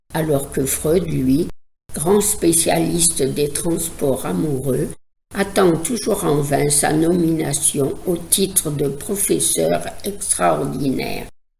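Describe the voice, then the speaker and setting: A woman with a very deep, low pitch and a dark, mellow tone speaks at a very slow pace with vocal fry, lively intonation and very even loudness. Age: old. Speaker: psychoanalyst. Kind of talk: educational podcast talk.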